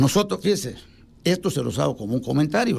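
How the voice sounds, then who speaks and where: Talking very fast with vocal fry, a man's voice makes very wide pitch swings. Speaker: civil engineer. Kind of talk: radio interview.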